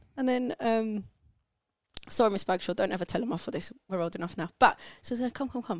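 A woman's fairly high voice in a London accent, very fast, with lively intonation and long, frequent pauses. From London, England (born in Turkey). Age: 30s. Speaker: podcast host's sister. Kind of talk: casual chat.

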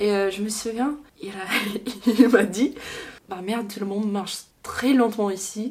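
A woman with an English accent, fairly high in pitch with fairly even intonation, at a fairly slow pace with long, frequent pauses and big swings in loudness, over noticeable background noise. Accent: English-speaking accent in French. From Louisiana, Baton Rouge. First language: English (speaking French). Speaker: student abroad. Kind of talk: casual interview. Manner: halting.

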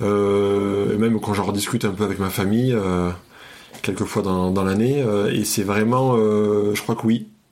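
A man at a fairly slow pace, fairly low in pitch, with monotone, flat intonation and very even loudness. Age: 30s. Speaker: psychiatric nurse. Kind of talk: casual chat. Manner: halting.

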